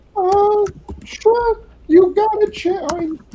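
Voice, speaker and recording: A put-on character voice, squeaky and female-sounding, sits at an extremely high pitch. It moves at a fairly slow pace. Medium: actual play. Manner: hesitant, filler-heavy.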